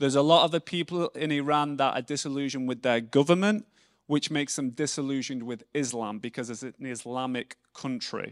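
Fairly quick speech in an English accent with ordinary pitch variation, very clean and dry, close and echo-free against a silent background. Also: man. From England. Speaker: missionary speaker. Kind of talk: sermon. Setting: church.

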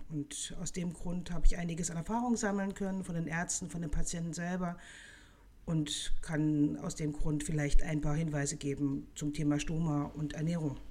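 A dark, mellow, somewhat breathy voice with fairly even intonation and big swings in loudness. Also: woman, fairly low pitch for a woman, moderate pace. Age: 40s. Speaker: nutrition scientist. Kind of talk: expert interview.

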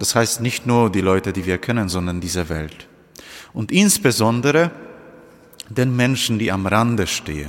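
The speaker keeps a moderate pace with lively intonation, broken by long, frequent pauses. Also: man, fairly low pitch for a man. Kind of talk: homily at Holy Thursday Mass. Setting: church. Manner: earnest, direct address to congregation; measured, teacherly, explaining step by step.

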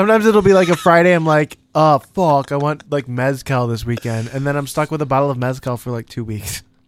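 A man with a plain, everyday voice talks at a fairly quick pace with hardly any pauses. His pitch is fairly high, his intonation lively, and the recording very clean with a silent background. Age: 20s. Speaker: podcast co-host. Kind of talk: casual chat. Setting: studio.

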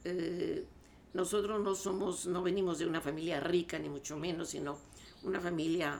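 At a fairly slow pace, a woman with a fairly low pitch speaks with fairly even intonation. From Mexico (born La Paz, raised Mexico City). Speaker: soprano singer. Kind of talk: interview.

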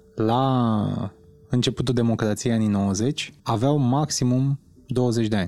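A man speaks at a medium pitch in a dark, mellow tone. His pace is fairly slow, with ordinary pitch variation. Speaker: podcast co-host. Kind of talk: casual interview.

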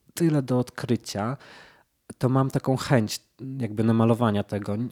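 A man's medium-pitched, plain, everyday voice at a moderate pace, fairly even in intonation, dry and close with no echo, on a very clean recording with a silent background. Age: 30s. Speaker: painter. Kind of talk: casual chat.

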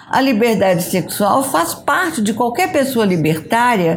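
Over noticeable background noise, a woman speaks at a fairly slow pace. Her pitch is high, and her intonation is lively. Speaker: photographer. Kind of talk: interview.

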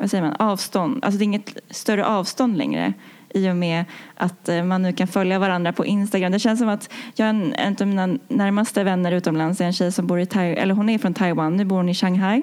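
Her loudness very even, a woman speaks at a medium pitch and a fairly quick pace with ordinary pitch variation. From Sweden, Stockholm. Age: 20s. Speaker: engineer. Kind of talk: interview. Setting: studio. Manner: halting.

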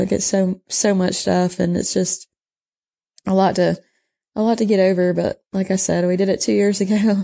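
In a Texan accent, the speaker uses a dark, mellow tone and monotone, flat intonation at a moderate pace. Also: woman. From southeast Texas. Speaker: cattle rancher. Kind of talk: casual interview.

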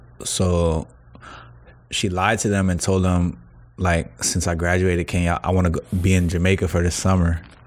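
A man speaks with an American accent in a very deep, low pitch and a monotone, flat intonation. His loudness stays very even and his pace is moderate. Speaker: rapper. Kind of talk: casual chat.

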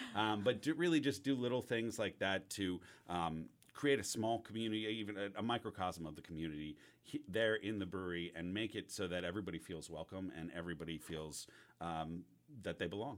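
With an American accent and an ordinary speaking voice, a man talks at a fairly quick pace, his fairly low pitch showing ordinary variation. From US Northeast, New York City. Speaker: head brewer. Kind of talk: interview.

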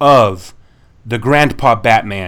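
This is a plain, everyday voice with ordinary pitch variation. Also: man.

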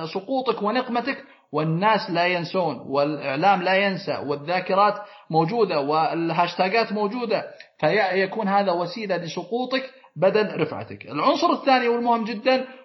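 Against noticeable background noise, a man talks at a fairly slow pace. His pitch is high and his intonation lively. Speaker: lawyer. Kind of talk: interview. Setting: remote, over the air.

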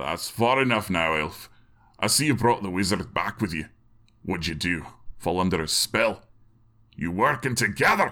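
A man puts on a gruff character voice with a fairly low pitch. He moves at a moderate pace with long, frequent pauses. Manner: angry, gruff, suspicious.

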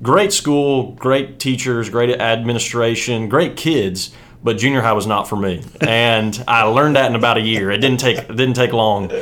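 A man with an American accent at a medium pitch and a moderate pace, with ordinary pitch variation and audible room echo. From West Virginia. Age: 30s. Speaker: ACT prep teacher and football coach. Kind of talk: casual interview.

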